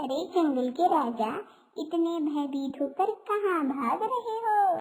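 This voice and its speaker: Putting on a squeaky character voice, a woman speaks at a fairly slow pace with an extremely high pitch and very wide pitch swings. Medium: cartoon. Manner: teasing, knowing.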